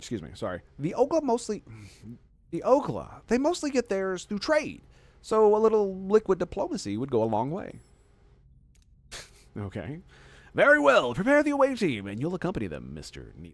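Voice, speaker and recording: A man speaks at a moderate pace. He pauses long and often. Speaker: video game streamer. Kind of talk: gameplay commentary. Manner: casual, with fillers.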